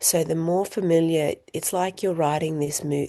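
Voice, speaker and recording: Soft-spoken, this woman has a very deep, low pitch and a dark, mellow tone. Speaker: coaching teacher. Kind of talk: online group coaching call.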